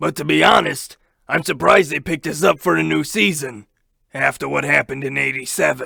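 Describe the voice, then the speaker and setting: A raspy, put-on character voice moves at a fairly quick pace. Its pitch swings very wide. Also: man, medium pitch for a man. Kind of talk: comic overacting. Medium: comedy sketch. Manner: crude, blunt, deadpan menace.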